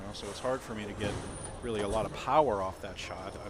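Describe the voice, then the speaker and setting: A man's fairly low voice at a very fast pace, with ordinary pitch variation, audible room echo and noticeable background noise. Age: 60s. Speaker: bowling commentator. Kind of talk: live commentary. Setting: broadcast booth at bowling alley.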